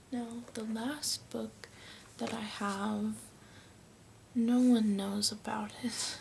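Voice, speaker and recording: Soft-spoken and very slow, a woman with an American accent talks at a fairly high pitch in a monotone, flat way, with noticeable background noise. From United States. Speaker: ASMR creator. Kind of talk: casual talk to camera.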